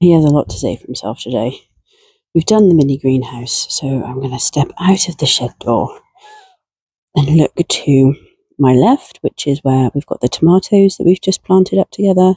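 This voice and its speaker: With a British accent, a woman talks at a moderate pace in a very deep, low pitch and lively intonation. The sound is dry and close, with no echo. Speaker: gardening vlogger. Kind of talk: casual garden tour vlog. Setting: outdoors at allotment. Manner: whispering quietly.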